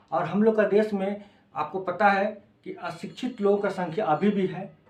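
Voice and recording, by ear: With audible room echo, a man speaks at a moderate pace in a high pitch with a slightly mellow tone and ordinary pitch variation.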